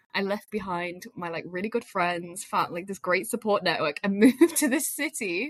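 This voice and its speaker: Speaking at a moderate pace in a Lancashire accent, a woman uses lively intonation, and the sound is dry and close with no echo. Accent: northern English (Lancashire). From northern England, Lancashire. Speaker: media professional. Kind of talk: casual chat.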